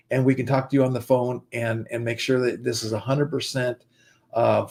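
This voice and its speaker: Somewhat breathy male voice with fairly even intonation on a very clean recording with a silent background. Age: 60s. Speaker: investment and digital marketing partner. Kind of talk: sales pitch. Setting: livestream.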